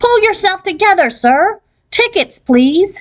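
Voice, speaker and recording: This is a put-on character voice with an extremely high, squeaky pitch. It moves at a fairly slow pace. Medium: read story. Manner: brisk, officious.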